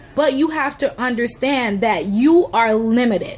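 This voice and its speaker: With noticeable background noise behind her, a woman speaks fairly slowly in a high, animated voice with lively intonation. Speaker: motivational vlogger. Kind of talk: motivational talk to camera.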